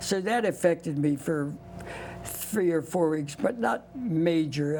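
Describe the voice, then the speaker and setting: Against noticeable background noise, a man with a fairly high pitch speaks at a fairly slow pace with lively intonation. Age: 90s. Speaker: war veteran. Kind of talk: interview testimony.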